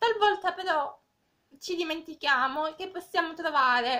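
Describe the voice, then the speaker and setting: A woman projects her voice in a raised, bright, sharp tone. Her intonation is lively. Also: quiet background. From Cosenza, Calabria, southern Italy. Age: 20s. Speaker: volunteer reader. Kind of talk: reading aloud a fable, with direct address. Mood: gentle, calm. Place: home room. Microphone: phone near.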